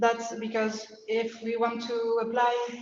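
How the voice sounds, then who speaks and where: A woman speaks with a French accent. Audible room echo surrounds her voice. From France. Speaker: PhD researcher. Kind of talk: lecture. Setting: invited talk. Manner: halting, many fillers.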